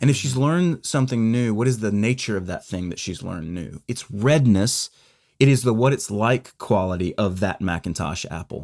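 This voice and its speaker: On a very clean recording with a silent background, a man with an ordinary speaking voice talks at a fairly low pitch with lively intonation. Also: moderate pace. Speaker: podcast co-host. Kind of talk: casual conversational discussion.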